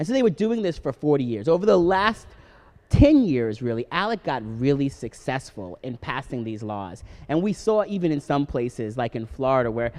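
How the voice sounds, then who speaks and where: A man with a Long Island accent, medium-pitched, with very wide pitch swings at a moderate pace. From Long Island, New York. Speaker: political activist. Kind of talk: live radio interview. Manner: many fillers and restarts.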